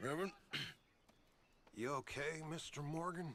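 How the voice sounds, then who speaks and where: His voice sits at a fairly high pitch. The man is doing a put-on character voice. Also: moderate pace. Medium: video game.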